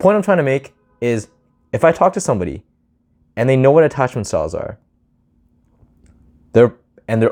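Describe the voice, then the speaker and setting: Talking at a fairly quick pace, a man with a medium-pitched voice and vocal fry swings very widely in pitch. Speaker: vlogger giving social advice. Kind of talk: casual talking-head monologue. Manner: fast, sometimes slurred or mumbled; casual, filler-heavy.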